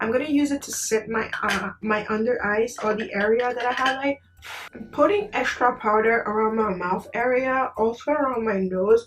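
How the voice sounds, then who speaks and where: Over noticeable background noise, a woman talks at a moderate pace, her fairly high pitch showing ordinary variation. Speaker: beauty vlogger. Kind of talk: makeup tutorial chat. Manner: soft-spoken, low energy.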